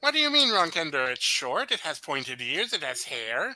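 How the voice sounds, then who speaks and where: At a moderate pace, a put-on character voice delivers the lines. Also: man, fairly high pitch for a man. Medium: actual play. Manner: haggling, self-justifying.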